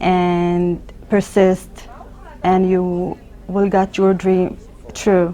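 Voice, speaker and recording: In an Arabic accent, a woman speaks at medium pitch and a very slow pace with monotone, flat intonation. Long, frequent pauses break her speech, over noticeable background noise. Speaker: emergency physician. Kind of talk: interview. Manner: halting, with repetitions.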